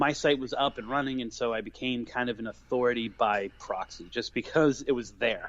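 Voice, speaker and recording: Speaking at a fairly quick pace with hardly any pauses, a man in an American accent holds a medium pitch. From Massachusetts, Boston area. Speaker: paranormal author and podcaster. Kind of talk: interview.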